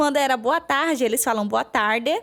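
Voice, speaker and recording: A high-pitched woman's voice with a strong northeastern Brazilian accent, lively intonation and a moderate pace. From Maranhão, northeast Brazil. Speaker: veterinarian. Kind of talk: podcast interview.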